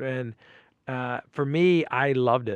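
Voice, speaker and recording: A medium-pitched man with a New York accent, against a quiet background. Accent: New York area. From New York, Westchester County (Port Chester). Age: 40s. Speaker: comedian. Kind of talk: casual chat.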